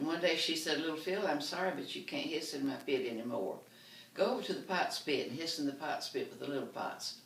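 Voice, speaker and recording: A woman with a Southern US accent speaks at a fairly quick pace. Noticeable noise sits in the background. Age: 80s+. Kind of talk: comedy storytelling.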